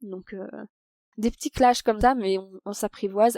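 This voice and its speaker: A woman's fairly high, dark and mellow voice with fairly even intonation, dry and close with no echo, on a very clean recording over a silent background. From France, Paris. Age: 30s. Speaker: expat interviewee. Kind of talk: podcast interview. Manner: hesitant, many fillers.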